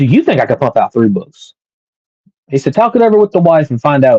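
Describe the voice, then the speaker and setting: A man with a Southern accent speaks in a dark, mellow tone at a fairly quick pace. The sound is dry and close, with no echo. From US South. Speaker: podcast host and author. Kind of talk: personal storytelling monologue.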